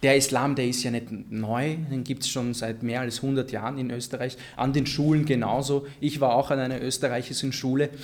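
Monotone, flat intonation from a man at medium pitch, moderate pace and hardly any pauses. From Vienna, Austria (Favoriten), Egyptian family. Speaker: political scientist, deradicalisation expert. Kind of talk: panel discussion. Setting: live recording with audience.

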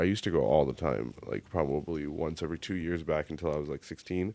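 With an American accent, a man talks in a very deep, low pitch and a dark, mellow tone, using vocal fry and ordinary pitch variation with hardly any pauses. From Texas, Indian family. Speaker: actor and comedian. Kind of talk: casual chat. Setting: studio.

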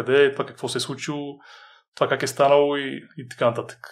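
With a very clean recording and a silent background, a man talks at a very fast pace and a fairly high pitch. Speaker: author and fitness trainer. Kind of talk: interview.

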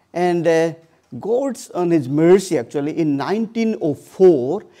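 Speaking with an Odisha accent, a man uses a high pitch with very wide pitch swings, a dark, mellow tone and a very slow pace. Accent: Indian (Odia) English. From India, Odisha (eastern India). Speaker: charity founder and missionary. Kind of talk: church talk. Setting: church with audience. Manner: halting.

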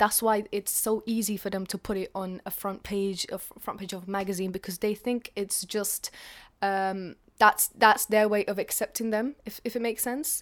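In a London accent, the speaker talks at a moderate pace with fairly even intonation over a very clean recording and a silent background. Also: woman, medium pitch for a woman. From North London. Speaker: writer and performer. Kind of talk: interview. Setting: apartment in London.

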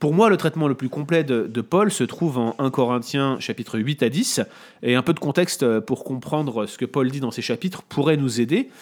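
Fairly high-pitched male speech at a moderate pace with ordinary pitch variation. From France, Paris area (Montreuil). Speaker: Bible teacher. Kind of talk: explanatory theological discussion. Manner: hesitant, with fillers and repetitions.

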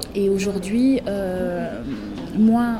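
In a room with audible echo and noticeable background noise, a woman talks at a medium pitch in a flat monotone. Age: 30s. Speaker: accountant and business coach. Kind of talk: interview.

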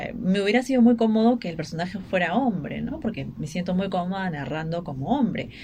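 Over noticeable background noise, a woman with a medium-pitched voice talks at a fairly quick pace with lively intonation. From Peru, Ica. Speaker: writer and journalist. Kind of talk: radio interview. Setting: radio studio. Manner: halting.

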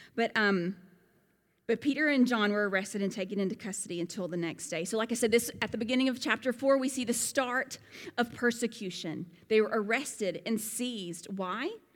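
A woman with a Southern US accent speaks at a fairly quick pace in a fairly high pitch, with ordinary pitch variation. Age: 40s. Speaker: pastor. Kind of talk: sermon. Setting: church.

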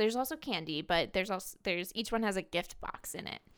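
This is an ordinary speaking voice. Its pitch varies in an ordinary way. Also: woman. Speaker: podcast co-host recapping reality TV. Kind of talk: casual recap chat.

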